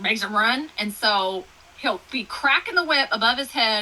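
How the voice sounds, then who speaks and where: A woman with an American accent speaks in an animated tone, her fairly high pitch moving in lively intonation. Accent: Texas country accent, varies in strength. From Texas. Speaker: author. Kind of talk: casual interview chat.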